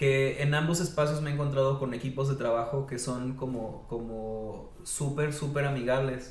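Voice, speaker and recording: Over noticeable background noise, a man with a Mexican accent talks at medium pitch with fairly even intonation. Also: moderate pace, hardly any pauses. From Mexico, Veracruz (Xalapa). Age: 30s. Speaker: teacher of creative writing. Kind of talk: podcast interview. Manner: hesitant, many fillers.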